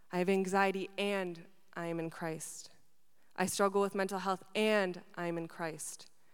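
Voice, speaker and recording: In an Upper Midwest accent, a woman of medium pitch speaks with monotone, flat intonation. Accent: Upper Midwest American. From Wisconsin, moved from Argentina at seven. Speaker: university student care manager. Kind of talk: spoken word testimony. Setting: stage with audience.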